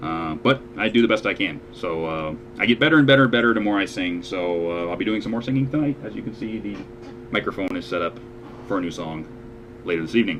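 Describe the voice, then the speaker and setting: With music in the background, a man talks very fast in a fairly low voice with lively intonation. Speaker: online show host and amateur singer. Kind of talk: casual chat.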